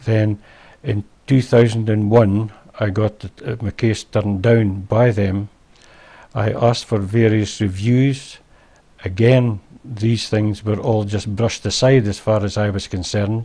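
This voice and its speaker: In a Scottish accent, a man speaks fairly slowly at a fairly low pitch, somewhat breathy and monotone, with flat intonation. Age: old. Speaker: former garage owner. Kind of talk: interview answer.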